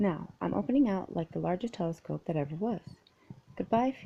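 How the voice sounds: Intonation rises and falls in a lively way. The delivery is a natural reading voice.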